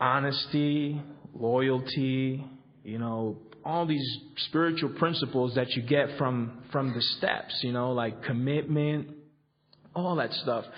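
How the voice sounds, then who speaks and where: With audible room echo, a man speaks at a very slow pace, his medium pitch held in a fairly even intonation. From Colombia. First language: Spanish. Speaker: recovery convention speaker. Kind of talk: recovery workshop talk. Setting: convention hall with audience. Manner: halting, many fillers and repetitions.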